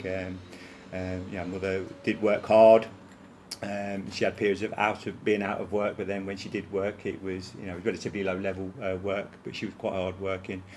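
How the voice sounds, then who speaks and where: A man speaks with a Leicester accent. His fairly low voice stays in a flat monotone. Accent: Leicester accent, noticeable. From English East Midlands, Leicester. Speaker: college principal. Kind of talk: interview. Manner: many fillers and repetitions.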